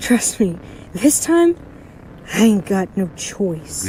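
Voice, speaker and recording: Over clear background noise, a woman uses a put-on character voice at medium pitch. She talks at a very slow pace, her pitch swinging very widely. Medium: audio drama. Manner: blunt, irritable.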